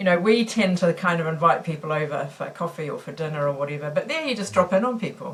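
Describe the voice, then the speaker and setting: Someone with a New Zealand accent talks at a very fast pace, with hardly any pauses. The voice is somewhat breathy. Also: woman, fairly low pitch for a woman, lively intonation. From New Zealand, Auckland. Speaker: missiologist and mission worker. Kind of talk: podcast interview. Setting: recording studio.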